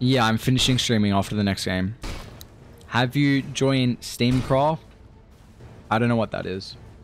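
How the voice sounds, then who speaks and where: With music playing in the background, a man of medium pitch talks at a moderate pace with ordinary pitch variation and long, frequent pauses. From Australia. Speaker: Dota 2 streamer and caster. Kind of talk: casual live-stream commentary. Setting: live stream. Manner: casual, relaxed.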